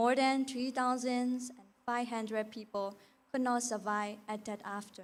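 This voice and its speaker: In a Burmese accent, a woman speaks at a high pitch with monotone, flat intonation. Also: moderate pace. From Myanmar. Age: 20s. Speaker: beauty pageant contestant. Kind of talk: prepared speech. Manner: halting.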